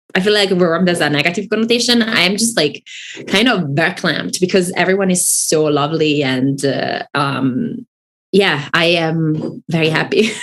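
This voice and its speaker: In an Italian accent, a woman talks at a moderate pace with a fairly low pitch and lively intonation. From Italy. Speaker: author. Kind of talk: casual chat.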